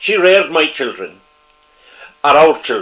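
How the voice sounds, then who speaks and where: In a Cork accent, a man speaks at a moderate pace. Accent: Cork Irish. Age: 80s+. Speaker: retired politician. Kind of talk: interview. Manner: halting.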